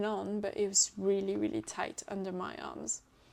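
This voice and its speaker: Her pitch medium, a woman speaks at a moderate pace. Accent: French. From France. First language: French. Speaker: knitting podcaster. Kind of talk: casual chat. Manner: hesitant, many fillers.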